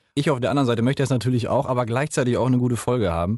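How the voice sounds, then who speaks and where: A man speaks in an energetic tone at a medium pitch, with a dry, close sound, no echo and a quiet background. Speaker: campus radio podcast host. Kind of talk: casual interview. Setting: radio studio.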